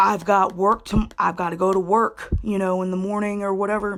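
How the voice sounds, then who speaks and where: Here a woman talks. She keeps a moderate pace. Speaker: video blogger. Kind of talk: casual explainer monologue. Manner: halting, self-interrupting; unrehearsed, conversational.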